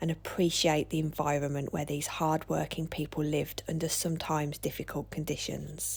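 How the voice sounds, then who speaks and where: A woman talks at a moderate pace with vocal fry. Her pitch is very deep and low. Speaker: social historian. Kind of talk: documentary vlog narration.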